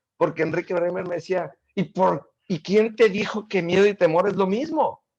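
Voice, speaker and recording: A man with a high voice talks at a moderate pace. His pitch moves in an ordinary way. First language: not Spanish (speaking Spanish). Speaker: guest speaker. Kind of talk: casual interview.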